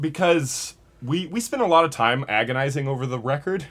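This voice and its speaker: This man has an unremarkable speaking voice and an American accent. His pitch is fairly high and his intonation is lively. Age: 30s. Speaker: rock musician. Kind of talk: casual interview chat.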